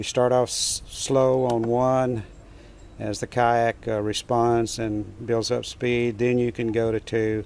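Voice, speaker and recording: Noticeable background noise sits behind a man with a medium pitch. He talks at a very slow pace in a monotone, flat intonation. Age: 70s. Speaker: kayak fishing video creator. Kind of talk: tutorial. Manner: halting, many fillers.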